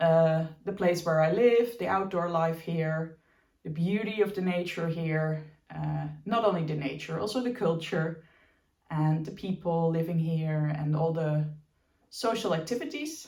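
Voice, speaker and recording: In a room with audible echo, a woman speaks slowly at a fairly low pitch, her dark, mellow voice somewhat breathy with ordinary pitch variation. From Belgium, Dutch family. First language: Dutch. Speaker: knitting podcaster. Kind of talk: casual chat. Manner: hesitant, with fillers.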